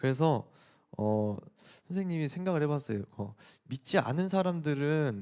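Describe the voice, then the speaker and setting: A man with a plain, everyday voice, fairly high in pitch, in a dry, close sound with no echo on a very clean recording with a silent background. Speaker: youth pastor. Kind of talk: sermon. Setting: church youth service. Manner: casual, conversational with teens.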